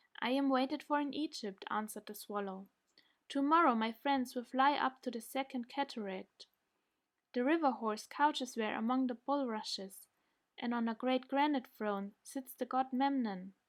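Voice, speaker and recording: A woman with a German accent, high-pitched, at a moderate pace with ordinary pitch variation. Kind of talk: bedtime story reading.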